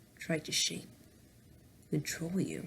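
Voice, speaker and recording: A creaky put-on character voice at a middle pitch, with clear background noise. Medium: read story. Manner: weary.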